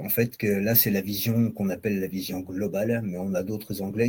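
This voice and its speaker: With a dark, mellow tone, a man's voice comes out somewhat breathy. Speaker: software vendor presenter. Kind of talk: product demo.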